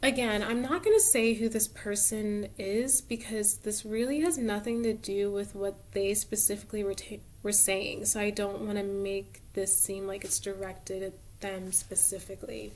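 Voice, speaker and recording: A woman speaks at a moderate pace and medium pitch with fairly even intonation over noticeable background noise. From suburban US, Cameroonian immigrant parents. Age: 20s. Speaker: tarot reader, video creator. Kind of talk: casual monologue. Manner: hesitant, many fillers.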